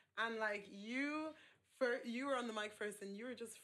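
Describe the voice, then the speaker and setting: Her accent is American. The woman's pitch moves with ordinary variation. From Ireland, Nigerian heritage. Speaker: poet. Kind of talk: casual interview chat.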